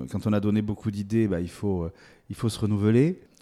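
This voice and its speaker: In a very clean recording with a silent background, a man with a dark, mellow tone and fairly low pitch speaks at a fairly quick pace. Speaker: agricultural competition director, former TV presenter. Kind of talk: interview. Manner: halting, with frequent repetitions.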